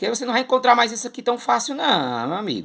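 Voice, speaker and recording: An animated man's voice with very wide pitch swings, on a very clean recording with a silent background. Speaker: comic collector YouTuber, theatre artist. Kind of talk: casual collection show-and-tell.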